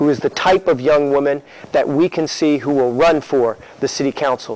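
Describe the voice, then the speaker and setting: Heard in a dry recording with no echo, a man talks at a moderate pace with fairly even intonation. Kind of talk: speech to a meeting. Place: meeting room.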